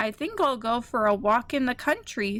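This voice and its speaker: A woman uses a put-on character voice with a high pitch. Her pace is moderate and her pitch variation ordinary. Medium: read story.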